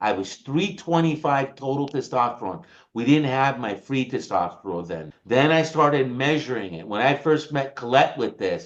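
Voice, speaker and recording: Speaking in an animated tone with an American accent, a man with a fairly high voice and vocal fry keeps a moderate pace, lively intonation and hardly any pauses. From United States. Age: 60s. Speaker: supplement company presenter. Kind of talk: sales pitch.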